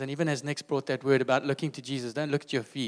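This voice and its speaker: A man speaks at a very fast pace and medium pitch, with a dry, close sound with no echo on a very clean recording against a silent background. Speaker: church leader. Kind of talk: prayer. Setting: church.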